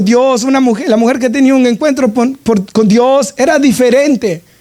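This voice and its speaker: This man's voice sits at an extremely high pitch, and his intonation stays fairly even. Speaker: pastor. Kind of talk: sermon.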